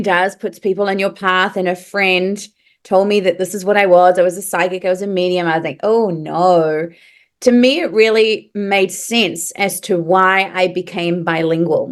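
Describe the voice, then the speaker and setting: A woman speaks at a fairly slow pace with a New Zealand accent. Her pitch is medium, and the background is quiet. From New Zealand (moved from Paris at nine). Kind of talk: podcast interview.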